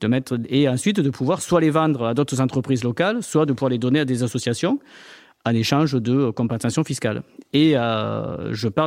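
Speaking at a fairly quick pace with a southern French accent, a man has a medium pitch and ordinary pitch variation on a very clean recording with a silent background. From southern France. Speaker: entrepreneur. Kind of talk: interview.

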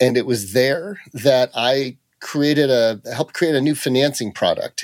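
Here a man uses an ordinary speaking voice at a medium pitch, with ordinary pitch variation and a fairly slow pace. The recording is very clean and dry, close with no echo and a silent background. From rural California (Mariposa County). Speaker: clean energy startup CEO. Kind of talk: interview.

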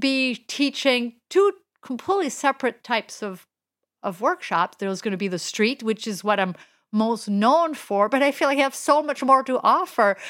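At a moderate pace and with lively intonation, the voice comes through dry and close with no echo. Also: woman, high pitch for a woman. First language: French. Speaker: street photographer and workshop teacher. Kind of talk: casual interview chat. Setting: remote online call.

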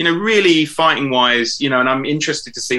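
A man speaks with lively intonation and a fairly high pitch. His tone is bright and sharp. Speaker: film director. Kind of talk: casual interview chat.

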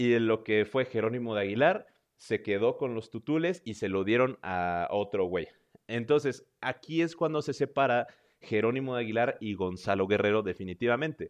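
A man with a central Mexican accent speaks at a medium pitch with lively intonation. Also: moderate pace. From central Mexico. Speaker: history podcast host. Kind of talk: casual storytelling monologue. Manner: animated.

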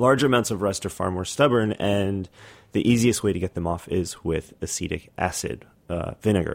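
The speaker has an American accent and an ordinary speaking voice, with ordinary pitch variation at a moderate pace. The recording is very clean, with a silent background. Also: man, fairly low pitch for a man. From New York City (Brooklyn). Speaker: food writer and chef. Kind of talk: casual chat. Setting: studio.

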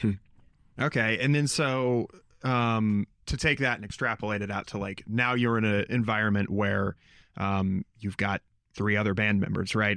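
A man's normal speaking voice, fairly low in pitch, at a moderate pace over a very clean recording with a silent background. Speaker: podcast host. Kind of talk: interview, casual conversation. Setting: band practice room.

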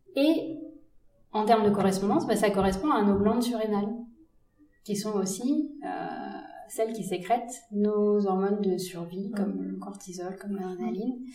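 Amid noticeable background noise and audible room echo, the voice moves at a moderate pace with ordinary pitch variation and long, frequent pauses. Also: woman, medium pitch for a woman. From India. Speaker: doctor. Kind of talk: interview.

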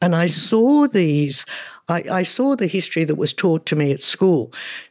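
A woman with an Australian accent is heard in a very clean recording with a silent background. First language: Hungarian. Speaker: photographer. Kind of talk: interview. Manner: animated.

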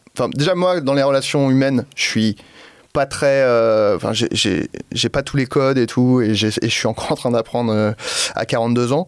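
An ordinary speaking voice moves at a fairly slow pace with ordinary pitch variation and very even loudness. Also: man, medium pitch for a man. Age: 40s. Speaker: comedian and video creator. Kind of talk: casual chat. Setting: studio.

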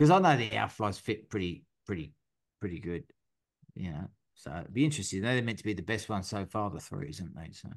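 The speaker talks at a fairly quick pace with lively intonation, vocal fry and big swings in loudness. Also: man, very deep, low pitch for a man. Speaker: podcast co-host, runner. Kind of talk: casual chat.

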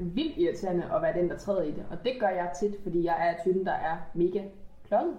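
In a room with audible echo, a woman talks at a fairly slow pace. Her tone is dark and mellow, at a medium pitch with ordinary pitch variation. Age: 20s. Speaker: medical secretary and dog owner. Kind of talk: casual chat.

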